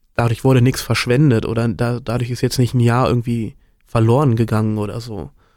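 In a very clean recording with a silent background, a man talks at a fairly quick pace and medium pitch in an unremarkable speaking voice. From Germany, Bergisches Land near Cologne. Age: 20s. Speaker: student podcast co-host. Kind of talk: casual chat.

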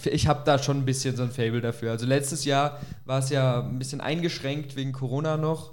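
A man with an unremarkable speaking voice talks at a moderate pace with a fairly high pitch. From Augsburg, Germany. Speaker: podcast co-host. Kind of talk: casual chat. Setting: kitchen recording.

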